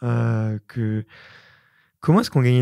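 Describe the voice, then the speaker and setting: A man with a dark, mellow tone talks at a moderate pace with ordinary pitch variation, in a dry sound with no echo over a quiet background. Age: 30s. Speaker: podcast host. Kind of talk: casual interview. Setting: studio, in person. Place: studio. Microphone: studio mic.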